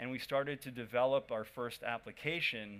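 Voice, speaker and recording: With an American accent, a man speaks at a fairly quick pace. His intonation stays fairly even. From United States. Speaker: startup founder. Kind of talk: conference talk. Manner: casual, with frequent fillers.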